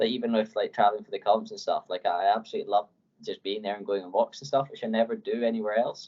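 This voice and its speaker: Words rush out of this man very fast. His volume rises and falls sharply. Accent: Edinburgh. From Scotland, Edinburgh. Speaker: professional climber. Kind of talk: podcast interview. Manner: casual, many fillers.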